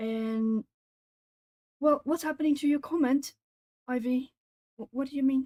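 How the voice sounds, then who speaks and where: A woman with a high pitch and a dark, mellow tone speaks at a fairly slow pace, the sound dry and close with no echo. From southern Portugal. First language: Portuguese. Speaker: artist streamer. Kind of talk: casual chat. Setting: live stream. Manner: hesitant, many fillers.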